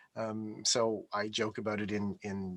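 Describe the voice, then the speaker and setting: Recorded very clean and dry, close with no echo and a silent background, a man speaks at a medium pitch with a Montreal accent. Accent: Canadian English, Montreal. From Canada, Montreal (Quebec). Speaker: IT architect. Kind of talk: interview conversation. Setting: live stream from home office.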